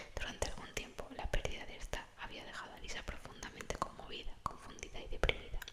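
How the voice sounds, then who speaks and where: Whispering at a very fast pace with hardly any pauses, a woman swings widely in loudness over noticeable background noise. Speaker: ASMR creator. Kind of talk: whispered audiobook-style reading of a novel. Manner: whispered, soft.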